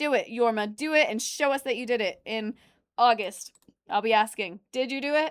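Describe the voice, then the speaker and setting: In a very clean recording with a silent background and a dry, close sound with no echo, a woman with an American accent speaks loudly at a moderate pace, her high pitch showing ordinary variation and her tone animated. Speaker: livestreamer reacting to videos, former restaurant nurse mascot. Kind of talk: casual livestream chat reading chat messages.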